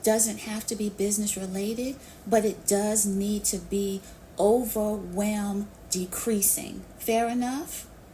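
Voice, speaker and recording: A woman with a plain, everyday voice and a fairly high pitch speaks at a fairly slow pace with fairly even intonation. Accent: American. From New York City. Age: 50s. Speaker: business coach. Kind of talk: live Q&A interview. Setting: live online audio session.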